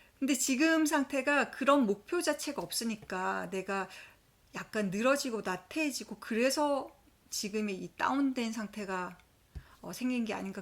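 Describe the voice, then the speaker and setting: A woman with a fairly high pitch and an unremarkable speaking voice talks at a fairly slow pace with lively intonation. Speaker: accountant vlogger. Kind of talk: personal vlog storytelling. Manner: conversational.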